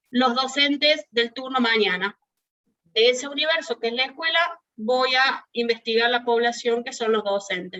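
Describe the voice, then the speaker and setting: A woman with a high pitch speaks at a moderate pace, keeping her intonation fairly even. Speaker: university lecturer. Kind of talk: lecture.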